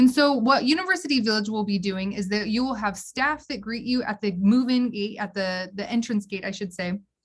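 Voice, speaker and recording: Female voice, somewhat breathy, moving at a fairly quick pace. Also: fairly high pitch for a woman, ordinary pitch variation, hardly any pauses. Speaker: university housing staff presenter. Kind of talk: online orientation presentation. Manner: fast; animated.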